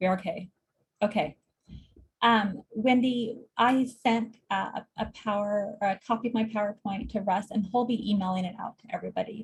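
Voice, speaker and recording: A somewhat breathy woman's voice at a fairly high pitch, moving at a moderate pace. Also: fairly even intonation. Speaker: clinical social worker. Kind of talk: lecture.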